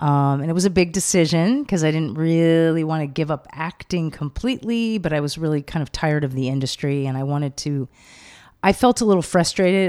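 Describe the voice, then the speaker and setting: In a very clean recording with a silent background, a woman with a Californian accent speaks at a fairly quick pace in a very deep, low pitch, with a dark, mellow tone and ordinary pitch variation. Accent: Californian American. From Los Angeles. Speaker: psychotherapist and author. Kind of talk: casual interview chat. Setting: in person.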